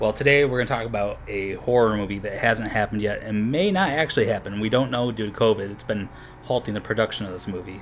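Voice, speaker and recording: Soft-spoken and very fast, a man talks at a medium pitch with ordinary pitch variation amid noticeable background noise. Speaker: podcast host. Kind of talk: casual monologue. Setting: home apartment at night. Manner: quiet, speaking softly.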